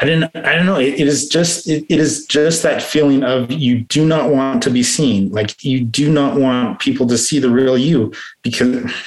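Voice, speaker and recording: Speaking with an American accent, a man with a fairly high pitch keeps a moderate pace, very even loudness and ordinary pitch variation. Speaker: recovering addict sharing story. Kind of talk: testimony. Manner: halting.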